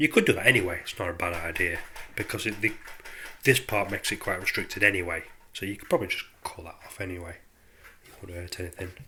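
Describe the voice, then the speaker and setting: His speech moves along fairly quickly. The man is heard over noticeable background noise. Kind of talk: casual DIY tutorial to camera. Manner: hesitant, casual.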